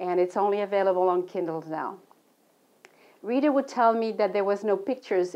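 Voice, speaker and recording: A woman speaks with a French accent and fairly even intonation. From Belgium, Brussels. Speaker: author and travel counselor. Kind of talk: book presentation. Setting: local TV studio.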